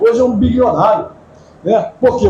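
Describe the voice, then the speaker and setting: Background noise is noticeable, and the room echoes audibly. Through it, a man talks at a moderate pace. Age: 70s. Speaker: pastor. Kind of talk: sermon. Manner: conversational, anecdotal preaching.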